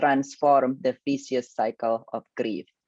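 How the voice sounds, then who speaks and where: Against a quiet background, a woman talks at a fairly slow pace in a dry, close recording with no echo. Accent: Indonesian. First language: Indonesian. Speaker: grief coach. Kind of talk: online workshop presentation.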